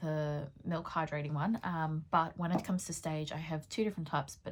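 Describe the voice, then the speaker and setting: In a very clean recording with a silent background, a woman with a very deep, low, somewhat breathy voice speaks at a moderate pace with ordinary pitch variation. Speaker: beauty vlogger and pole dancer. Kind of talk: casual makeup tutorial chat. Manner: frequent 'um' fillers.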